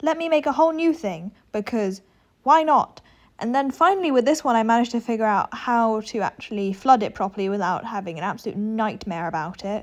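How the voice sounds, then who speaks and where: Against a quiet background, a woman with a British accent talks at a fairly quick pace, her fairly high voice making very wide pitch swings. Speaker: gaming video creator. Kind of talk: casual gameplay narration.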